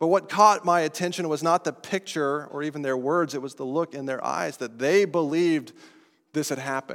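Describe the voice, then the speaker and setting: Speaking at a fairly quick pace, a man with an American accent has a fairly high pitch and ordinary pitch variation. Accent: non-New England American. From Colorado. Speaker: pastor. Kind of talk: sermon.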